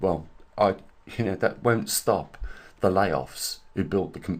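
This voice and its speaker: A man talks with vocal fry in his voice. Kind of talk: casual talk to camera.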